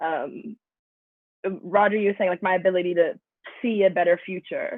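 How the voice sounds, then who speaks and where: A woman uses an unremarkable speaking voice at a medium pitch. Her intonation is fairly even. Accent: American. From Atlanta, US South. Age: 20s. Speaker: musician. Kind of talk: interview. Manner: casual.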